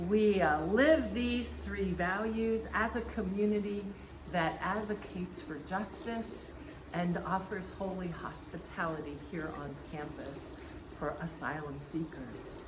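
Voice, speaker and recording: The speech comes at a fairly slow pace with ordinary pitch variation, amid noticeable background noise and audible room echo. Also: woman, medium pitch for a woman. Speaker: pastor. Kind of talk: church welcome address. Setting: outdoors by a fountain. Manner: projecting loudly.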